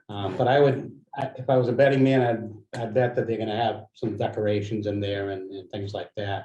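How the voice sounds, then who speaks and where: A man with an American accent speaks in a dark, mellow tone, somewhat breathy, at a medium pitch with fairly even intonation. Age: 60s. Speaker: community organizer. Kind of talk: meeting discussion.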